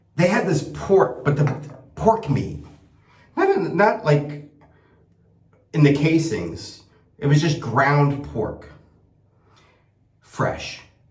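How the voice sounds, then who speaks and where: A man with a fairly high pitch speaks very slowly in an American accent, leaving long, frequent pauses. Audible room echo surrounds his voice. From United States. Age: 60s. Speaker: shaving product maker and vlogger. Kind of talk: casual vlog monologue. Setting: travelling in Italy. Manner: rambling, with many repeated words and fillers.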